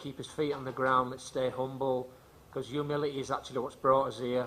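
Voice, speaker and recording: A man with an English accent speaks fairly quickly in a monotone, flat delivery. His medium-pitched voice has a bright, sharp tone. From England. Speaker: football coach. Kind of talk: press conference. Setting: press conference. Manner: halting.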